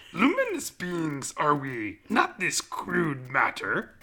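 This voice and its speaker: The speaker puts on a character voice. Delivery is very slow. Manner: put-on character voice.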